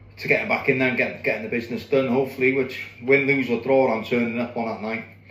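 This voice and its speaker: A man with a North Welsh accent speaks at a very fast pace, medium in pitch with fairly even intonation. Noticeable background noise and audible room echo surround him. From North Wales (Anglesey). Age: 40s. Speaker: boxer. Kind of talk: personal monologue to camera. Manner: halting, many fillers and repeats.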